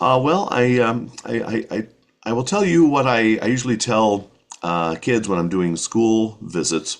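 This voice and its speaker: Speaking in a normal speaking voice with an American accent, the talker moves at a fairly slow pace with lively intonation. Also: man, medium pitch for a man. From rural New Hampshire, USA. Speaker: children's writer, voice-over artist, former radio broadcaster. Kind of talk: casual interview answer.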